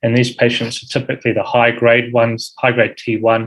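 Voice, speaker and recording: A man with a New Zealand accent. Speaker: uro-oncology fellow presenting at rounds. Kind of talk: medical lecture. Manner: frequent fillers, um and uh.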